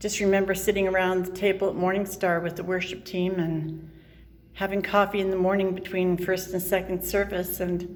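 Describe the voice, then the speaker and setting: Audible room echo colors this woman's medium-pitched voice. Her intonation is monotone and flat, and her pace is moderate. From Southern California. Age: 60s. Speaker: vlogger. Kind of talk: casual video diary. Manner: halting, hesitant.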